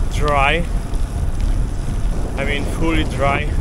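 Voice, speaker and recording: Over loud background noise, a man's voice comes through dry, with no echo. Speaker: cycling commuter vlogger. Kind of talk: casual vlog chat. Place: bicycle.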